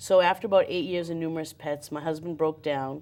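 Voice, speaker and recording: A woman with a central Massachusetts accent talks at a fairly quick pace in a very deep, low voice. The recording is very clean with a silent background. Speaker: community TV interviewer. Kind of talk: interview.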